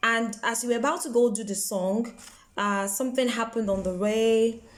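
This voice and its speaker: Ordinary pitch variation comes through alongside audible room echo. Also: woman. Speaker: broadcaster and motivational vlogger. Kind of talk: motivational talk. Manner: animated.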